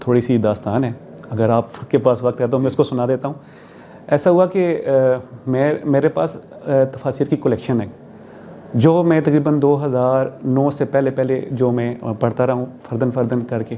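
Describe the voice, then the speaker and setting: A man talks in a plain, everyday voice at a medium pitch with ordinary pitch variation. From Abbottabad, Pakistan. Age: 40s. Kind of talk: interview answer.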